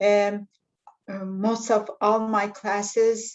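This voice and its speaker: A woman's monotone, flat delivery with a non-native accent. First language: not English. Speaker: pharmacist in drug development. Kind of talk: panel discussion. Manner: halting.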